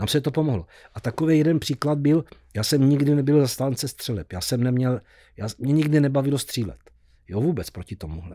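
A man with a South Moravian accent speaks with lively intonation. His tone is dark and mellow, and the sound is dry with no echo. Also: medium pitch for a man, fairly quick pace, quiet background. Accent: Blansko regional dialect. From Blansko, South Moravia, Czechia; South Moravia, Czechia. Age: 70s. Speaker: musician; podcast guest. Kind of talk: casual interview. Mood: cheerful, laughing. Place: studio. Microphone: studio mic.

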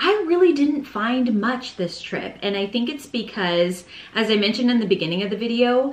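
Audible room echo colors the recording. In it, a woman talks at a moderate speed. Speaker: home decor vlogger. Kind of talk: casual vlog chat. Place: home room.

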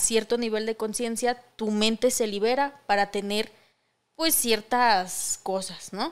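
Against a quiet background, a woman with a fairly high pitch talks at a very slow pace and with fairly even intonation. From Mexico. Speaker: podcast co-host. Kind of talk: casual chat. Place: studio. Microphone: studio mic.

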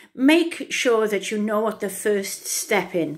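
The background is quiet as a woman speaks. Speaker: coach. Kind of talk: casual vlog talk, coaching advice. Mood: warm, upbeat. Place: bathroom. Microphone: phone near.

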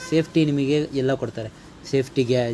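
A man speaks with a non-native accent at a medium pitch. Noticeable background noise runs underneath. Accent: non-native Kannada. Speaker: travel vlogger. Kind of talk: travel vlog. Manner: halting.

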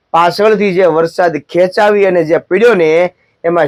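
This man has a high voice and fairly even intonation, recorded dry and close with no echo. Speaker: agriculture advisor YouTuber. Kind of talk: farming advice vlog. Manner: quieter than usual.

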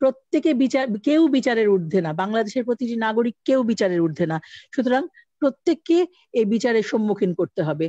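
The voice swings very widely in pitch, with a dark, mellow tone. The sound is dry with no echo, the loudness stays very even, and the background is quiet. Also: woman, fairly high pitch for a woman. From Bangladesh. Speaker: cultural organization leader. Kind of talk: speech at online meeting. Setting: video call. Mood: earnest, demanding justice. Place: home room. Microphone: video call.

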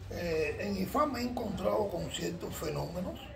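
Against noticeable background noise, a man speaks at a very slow pace. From Cuba. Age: 70s. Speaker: Ifa priest. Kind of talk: interview. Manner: halting. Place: home room. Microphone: phone near.

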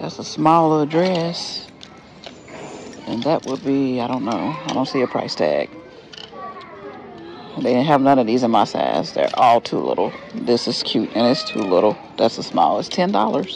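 A man talks with long, frequent pauses over faint background music, the sound dry with no echo. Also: moderate pace. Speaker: thrift shopper vlogger. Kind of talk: casual vlog chat. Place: shop. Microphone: phone near.

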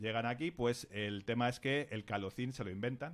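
A man's medium-pitched voice, with ordinary pitch variation, moves along at a moderate pace. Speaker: science section contributor; podcast guest or host. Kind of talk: casual chat. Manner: halting. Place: studio. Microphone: studio mic.

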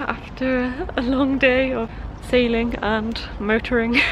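A woman speaks at a high pitch. The sound is dry with no echo, and there is light background noise. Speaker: sailing vlogger. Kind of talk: casual vlog chat. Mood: cheerful, relieved. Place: boat. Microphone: phone near.

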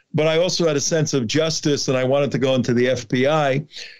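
Here a man talks fairly quickly in a New Jersey accent. His pitch is fairly high and his intonation fairly even. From New Jersey (Newark). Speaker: border activist and documentary producer. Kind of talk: interview.

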